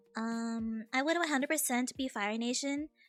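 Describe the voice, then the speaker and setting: Over music in the background, a woman speaks with a fairly high pitch and ordinary pitch variation, the sound dry and close with no echo. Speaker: streamer. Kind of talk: casual chat.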